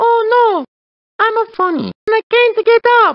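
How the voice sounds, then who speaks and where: Using a put-on character voice, a woman squeaks at an extremely high pitch with ordinary pitch variation and a moderate pace. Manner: mocking, comedic.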